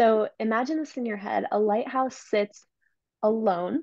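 A woman with an unremarkable speaking voice, fairly high in pitch with fairly even intonation, in a dry sound with no echo against a quiet background. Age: 20s. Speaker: entrepreneur and business coach; business coach. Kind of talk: interview podcast. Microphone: earbuds.

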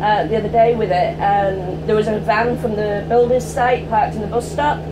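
A woman talks at a medium speed while noticeable noise sits in the background. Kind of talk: casual conversation. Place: bus. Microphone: phone near.

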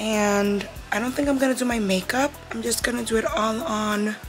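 Clear music plays in the background while the speaker goes at a moderate pace with ordinary pitch variation. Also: woman. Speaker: vlogger. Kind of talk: casual vlog chat. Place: home room. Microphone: phone near.

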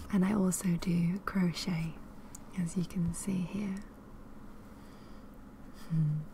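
A soft-spoken woman with a gentle tone, at a very slow pace with long, frequent pauses, over light background noise. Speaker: ASMR creator, cross stitcher and crocheter. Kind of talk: ASMR soft-spoken talk to camera. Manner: soft-spoken, gentle. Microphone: studio mic.

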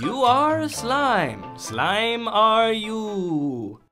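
A man speaks in a raised, projected voice with a theatrical tone and lively intonation. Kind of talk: comic overacting. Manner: flamboyant, theatrical.

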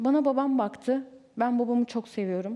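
Her pitch fairly high, a woman speaks at a moderate pace with ordinary pitch variation. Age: 20s. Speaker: reality show participant. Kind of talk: heated debate. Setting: TV studio. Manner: animated. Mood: earnest, emotional about father. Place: studio. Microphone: headset.

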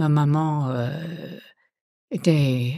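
A woman speaks in a very deep, low, dark and mellow voice with ordinary pitch variation, in a very clean, dry, close recording with a silent background and no echo. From Montceau-les-Mines, Burgundy, France. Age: 80s+. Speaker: retired local resident, miner's daughter. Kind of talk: casual testimony.

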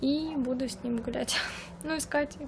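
The speech moves at a very slow pace with fairly even intonation. Noticeable background noise runs underneath. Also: woman. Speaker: vlogger. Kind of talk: casual vlog chat. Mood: relaxed, content. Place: garden. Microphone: phone near.

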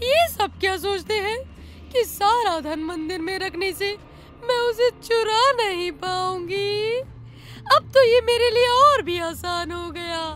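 A cartoonish character voice, female-sounding, at an extremely high pitch, fairly slow, with clear music in the background. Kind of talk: cartoon voice acting.

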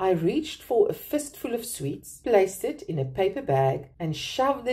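The voice here reads in an unforced way.

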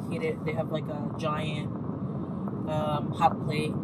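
A woman speaks over loud background noise, and the sound is dry with no echo. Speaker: food vlogger. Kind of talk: casual review chat. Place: car. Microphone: phone near.

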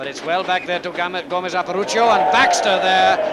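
A man talks fairly quickly in a high voice, with noticeable noise in the background. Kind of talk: live sports commentary, rugby match broadcast. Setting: outdoors at a rainy stadium, archive broadcast. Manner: fast, clipped, excitable play-by-play, rattling off player names; dry, opinionated, slightly sardonic asides.

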